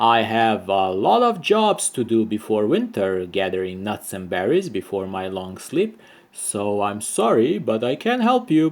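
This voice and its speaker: Using a put-on character voice, a man rumbles along at a moderate pace and medium pitch with hardly any pauses. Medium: read story.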